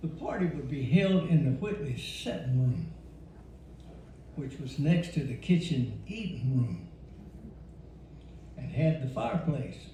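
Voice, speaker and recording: With a Louisiana accent, a man talks at a fairly slow pace and fairly high pitch, using lively intonation and long, frequent pauses, amid noticeable background noise and audible room echo. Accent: Southern US (Louisiana). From Louisiana, rural. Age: 80s+. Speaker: elder storyteller. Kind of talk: storytelling.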